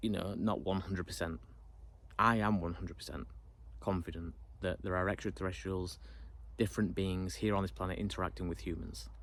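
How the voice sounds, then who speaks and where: Pausing long and often, a man with a British accent speaks in a very deep, low pitch with vocal fry and lively intonation. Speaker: YouTuber. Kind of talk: casual monologue to camera. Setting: alone in front of camera. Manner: fast; unrehearsed, hesitant.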